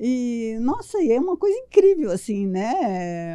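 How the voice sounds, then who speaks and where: A woman speaks with a fairly high pitch and very wide swings in it. Her tone is dark and mellow. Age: 70s. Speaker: physician and mentor. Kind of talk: podcast interview. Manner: animated.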